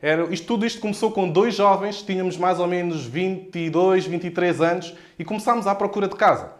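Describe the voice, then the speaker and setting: Using a Lisbon accent, a man with a high voice talks in an animated tone at a fairly quick pace with hardly any pauses. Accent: European Portuguese, Lisbon. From Portugal, Lisbon area (Odivelas). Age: 20s. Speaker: real estate investor and mentor. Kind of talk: live stream talk.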